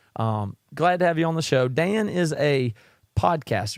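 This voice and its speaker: The recording is dry and close, with no echo. A man with a Southern US accent speaks with lively intonation. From South Carolina, US South. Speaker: podcast host and musician. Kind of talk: podcast interview.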